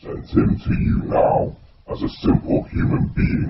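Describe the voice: Using a put-on character voice, a man speaks in a raspy tone at a moderate pace.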